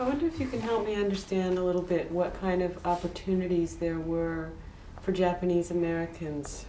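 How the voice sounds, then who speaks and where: A woman talks at a fairly quick pace in a fairly low pitch with ordinary pitch variation and very even loudness. Light background noise and audible room echo can be heard. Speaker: documentary interviewer. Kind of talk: interview. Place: home room.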